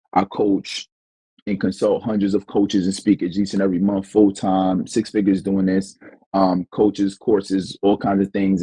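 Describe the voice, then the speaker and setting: This man has a strong New York accent and a dark, mellow tone at a fairly low pitch. His moderate pace comes through a dry, close sound with no echo. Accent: New York accent, heavy. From New York, the Bronx. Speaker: business coach and speaker. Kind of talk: podcast interview. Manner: casual, many fillers.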